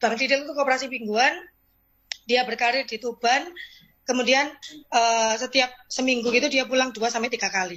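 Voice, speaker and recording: The tone is bright and sharp, with fairly even intonation. Delivery is at a fairly quick pace. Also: woman, high pitch for a woman. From East Java (Lamongan). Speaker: insurance agent. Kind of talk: motivational talk / testimony. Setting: video call.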